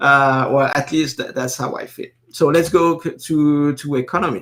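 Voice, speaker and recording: A man talks at a moderate pace with a French accent. His pitch is fairly high. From northeastern France. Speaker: live stream host. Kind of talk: casual live stream commentary. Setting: live stream. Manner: hesitant, many fillers and repetitions.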